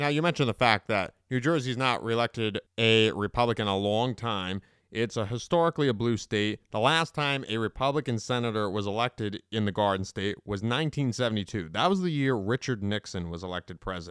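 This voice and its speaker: A plain, everyday voice goes at a fairly quick pace with hardly any pauses and lively intonation. The very clean recording has a silent background and a dry, close sound with no echo. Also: man, medium pitch for a man. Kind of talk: interview.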